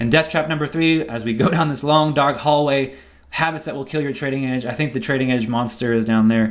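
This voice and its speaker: The man talks at a very fast pace, and room echo is audible. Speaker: trading educator. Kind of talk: seminar lecture.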